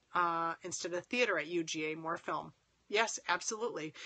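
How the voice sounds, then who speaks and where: Here a woman talks at a fairly quick pace. Her medium-pitched voice has ordinary pitch variation. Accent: American. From Minnesota (Winona). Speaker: filmmaker and acting teacher hosting a live stream. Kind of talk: live stream chat reading viewer comments. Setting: live phone stream.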